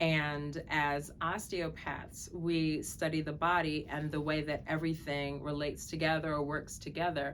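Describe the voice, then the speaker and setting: Fairly even intonation and a fairly slow pace mark this voice with an American accent, heard with audible room echo. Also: woman. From Brooklyn, New York. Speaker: physician. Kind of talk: self-introduction to camera.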